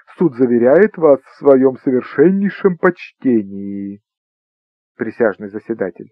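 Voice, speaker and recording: The man's voice sits at a medium pitch but swings very widely up and down. He speaks at a very slow pace. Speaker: audiobook narrator. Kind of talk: audiobook reading of a humorous short story, narrated with an ironic, storytelling tone.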